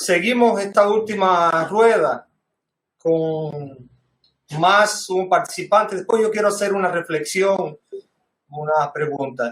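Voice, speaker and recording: This man has a high-pitched voice and talks at a very slow pace. He leaves long, frequent pauses, with ordinary pitch variation. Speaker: panel moderator, history educator. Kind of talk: academic panel discussion. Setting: video call. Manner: halting.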